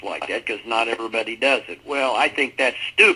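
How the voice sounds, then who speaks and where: Noticeable background noise accompanies a man talking with ordinary pitch variation. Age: 50s. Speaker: network marketing speaker. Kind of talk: motivational talk on a conference call. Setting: conference call. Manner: informal, off the cuff.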